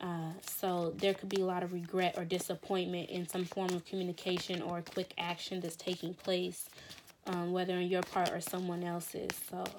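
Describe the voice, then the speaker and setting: A soft-spoken woman's fairly low voice at a moderate pace, with monotone, flat intonation. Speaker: tarot reader. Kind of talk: tarot reading monologue. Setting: home recording, morning. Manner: hesitant, many fillers.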